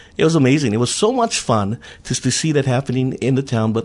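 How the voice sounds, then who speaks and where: Speaking at a fairly quick pace with lively intonation, a man with a Hawaiian accent is heard against a quiet background. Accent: Hawaii local English. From Hawaii, Big Island (Honoka'a plantation camp). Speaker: council candidate and former politician. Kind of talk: radio interview.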